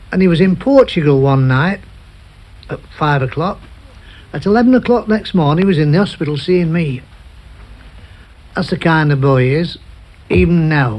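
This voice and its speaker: In a Manchester accent, the speaker uses lively intonation with long, frequent pauses. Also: man, fairly high pitch for a man, moderate pace. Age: 70s. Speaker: football chief scout. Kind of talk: radio interview answer.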